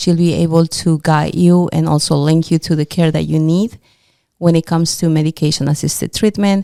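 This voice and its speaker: Dry and close with no echo, the voice carries a non-native accent and a dark, mellow tone. It moves at a fairly quick pace with very even loudness. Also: woman, fairly low pitch for a woman, fairly even intonation. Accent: foreign. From immigrant to the US. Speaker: podcast co-host. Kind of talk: casual interview chat.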